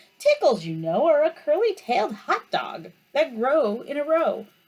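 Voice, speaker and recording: Someone performs a put-on character voice at a high pitch and a moderate pace. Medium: read story. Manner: pompous, know-it-all.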